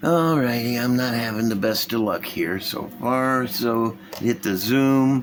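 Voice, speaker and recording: Over noticeable background noise, a man at medium pitch talks at a fairly slow pace. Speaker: model car building youtuber. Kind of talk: casual hobby tutorial. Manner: animated; loud.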